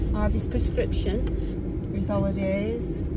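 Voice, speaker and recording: Recorded dry with no echo over loud background noise, a woman talks at a fairly slow pace. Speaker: vlogger. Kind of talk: casual vlog chat. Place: car. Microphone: phone near.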